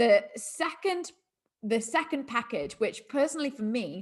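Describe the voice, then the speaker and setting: This is a woman talking. Her voice has some breathiness to it. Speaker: network marketing sales trainer. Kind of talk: training webinar presentation.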